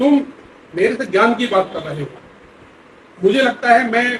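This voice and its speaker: A man talks at a moderate pace in an extremely high pitch with ordinary pitch variation. Noticeable background noise is present. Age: 70s. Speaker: palmist. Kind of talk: interview.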